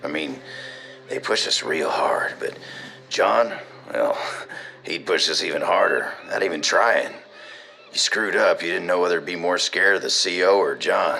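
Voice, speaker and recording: Putting on a raspy character voice, a man speaks at a moderate pace with long, frequent pauses while clear background noise runs underneath. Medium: audio drama. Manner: casual, laughing, folksy.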